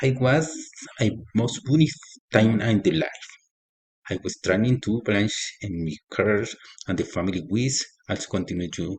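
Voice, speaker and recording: A man's somewhat breathy, fairly low voice with a Colombian accent, lively intonation and a fairly slow pace. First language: Spanish. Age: 40s. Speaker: agronomy student. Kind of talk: reading aloud. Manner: halting.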